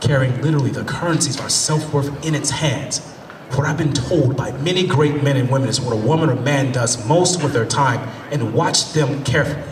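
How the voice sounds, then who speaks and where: A fairly high-pitched male voice at a moderate pace amid noticeable background noise. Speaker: motivational speaker and spoken word performer. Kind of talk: spoken word poetry performance to a live audience. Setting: live event, on stage.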